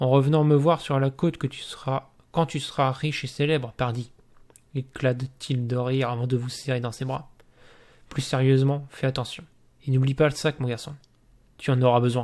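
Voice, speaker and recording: The speech runs at a moderate pace with fairly even intonation and long, frequent pauses. The recording is very clean, with a silent background. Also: man. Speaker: gamebook reading youtuber. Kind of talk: reading aloud; casual chat. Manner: monotone.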